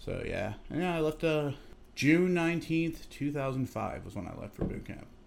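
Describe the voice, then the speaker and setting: With a plain, everyday voice, a man speaks at a moderate pace and a fairly high pitch, with ordinary pitch variation and big swings in loudness. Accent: American. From Massachusetts, Chicopee. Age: 30s. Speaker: Coast Guard storekeeper, former Army infantryman. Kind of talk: casual interview over drinks. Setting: at his home.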